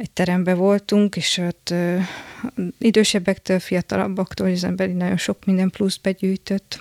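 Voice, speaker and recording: A woman with a fairly low pitch speaks at a moderate pace in a monotone, flat intonation, recorded dry and close with no echo. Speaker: architect. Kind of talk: interview. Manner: halting.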